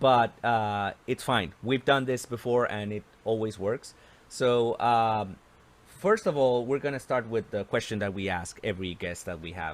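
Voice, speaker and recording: A man with a Spanish accent speaks fairly slowly at medium pitch with ordinary pitch variation. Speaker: podcast host. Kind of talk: interview.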